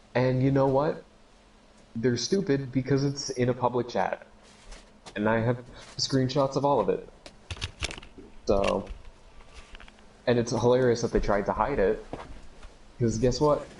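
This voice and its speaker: There is noticeable background noise as a man talks fairly slowly with long, frequent pauses, his intonation fairly even and his loudness very even. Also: medium pitch for a man. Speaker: podcast co-host. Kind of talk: casual chat. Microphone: audio cutting out, needs new mic.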